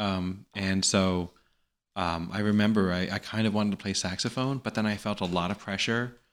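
A plain, everyday voice belongs to this man with an American accent, pitched fairly low. He keeps a moderate pace and fairly even intonation on a very clean recording with a silent background. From New York. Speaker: actor and comedian. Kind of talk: casual chat.

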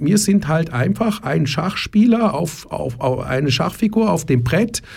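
The pitch swings very widely and the voice is somewhat breathy. The pace is fairly slow. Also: man. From Germany. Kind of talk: radio interview. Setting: radio studio. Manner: repetitive, restarts often.

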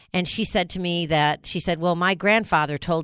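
A woman with a fairly low pitch talks at a moderate pace in a bright, sharp tone. The recording is very clean, with a silent background. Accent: American. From New York. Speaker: radio host. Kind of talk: casual chat.

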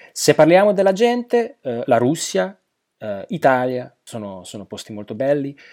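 On a very clean recording with a silent background, a man speaks at a moderate pace in a fairly high voice with a dark, mellow tone and very wide pitch swings. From Slovakia. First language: Slovak (speaking Italian). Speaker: polyglot, translator and interpreter. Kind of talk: interview. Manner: halting, with fillers.

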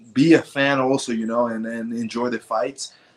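A man is speaking. His pace is moderate. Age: 20s. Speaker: mixed martial arts fighter. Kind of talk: interview.

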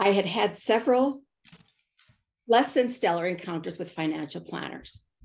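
A woman talks at a moderate pace with lively intonation in a normal speaking voice. The recording is very clean, with a silent background. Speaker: author and consultant. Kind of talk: interview conversation.

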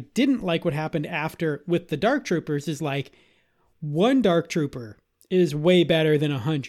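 A man with a high-pitched voice talks at a moderate pace on a very clean recording with a silent background. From Boston, Massachusetts. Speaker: podcast co-host. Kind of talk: casual chat.

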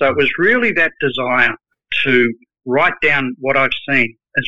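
A man with an Australian accent, fairly high in pitch, with ordinary pitch variation. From Australia, Sydney. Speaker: project management advisor and author. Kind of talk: interview.

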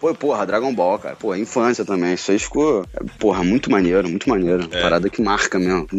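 A man's fairly low voice at a fairly quick pace, with ordinary pitch variation and noticeable background noise. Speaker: voice actor. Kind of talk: casual chat.

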